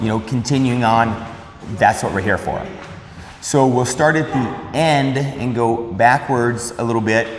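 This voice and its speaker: A man's medium-pitched voice with fairly even intonation at a moderate pace, with audible room echo and noticeable background noise. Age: 50s. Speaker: fitness video host. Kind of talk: casual interview.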